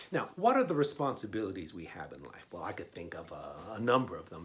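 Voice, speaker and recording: The man sounds somewhat breathy, and audible room echo surrounds his voice. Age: 60s. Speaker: pastor. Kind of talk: sermon. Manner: conversational, frequent fillers and repetitions.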